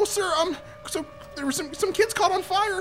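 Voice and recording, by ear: This is a squeaky put-on character voice at an extremely high pitch. It moves at a moderate pace with music in the background.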